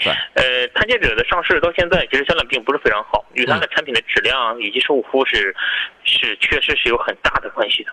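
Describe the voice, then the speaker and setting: A man rattles off his words at a very fast pace while noticeable background noise plays underneath. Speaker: car sales expert guest. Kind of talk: live radio call-in chat. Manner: easygoing, joking.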